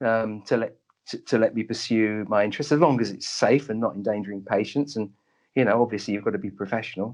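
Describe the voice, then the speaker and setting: Delivery comes at a very fast pace with ordinary pitch variation. The background is quiet. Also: man, medium pitch for a man. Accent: London. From North London, England. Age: 60s. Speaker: doctor and psychic medium. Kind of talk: interview conversation. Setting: radio show.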